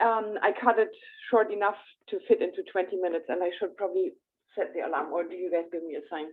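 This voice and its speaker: With a German accent, the speaker talks at a very fast pace. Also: woman. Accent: German accent, noticeable. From Germany. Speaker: astrologer. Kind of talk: presentation. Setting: hybrid in-person meeting streamed on Zoom.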